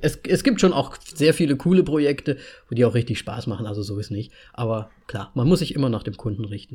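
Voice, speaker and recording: Lively in intonation, a man with a medium-pitched, somewhat breathy voice and a dark, mellow tone talks at a fairly quick pace. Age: 30s. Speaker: podcast host, designer. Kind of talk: casual chat.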